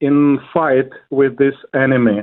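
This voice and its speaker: Speaking at a very slow pace, a man uses a fairly high voice. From Ukraine. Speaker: pastor. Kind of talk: interview. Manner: halting, many fillers.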